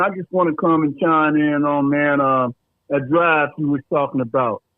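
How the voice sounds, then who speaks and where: Fairly high male voice, moderately paced and fairly even in intonation. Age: 60s. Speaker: caller. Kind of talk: phone-in comment. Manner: halting.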